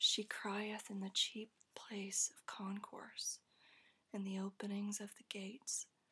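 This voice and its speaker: Whispering and soft-spoken, the voice moves at a very slow pace. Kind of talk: ASMR scripture reading for sleep. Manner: soft-spoken, whispered.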